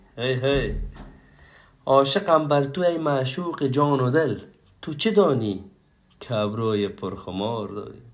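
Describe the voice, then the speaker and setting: A man with very wide pitch swings and long, frequent pauses, in audible room echo. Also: medium pitch for a man, fairly slow pace. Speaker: poetry reciter. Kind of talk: reading aloud.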